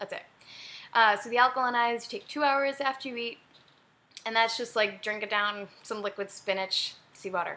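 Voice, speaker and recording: Fast and bright, a woman speaks at a very fast pace in a sharp, fairly high voice. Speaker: fitness vlogger. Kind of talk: casual video diary. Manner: animated.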